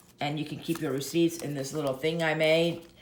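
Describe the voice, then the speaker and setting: A woman speaks in a very deep, low pitch. There is audible room echo. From Russia. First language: Russian. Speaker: YouTuber, planner and luxury goods vlogger. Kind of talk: casual tutorial show-and-tell. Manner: casual, halting with fillers.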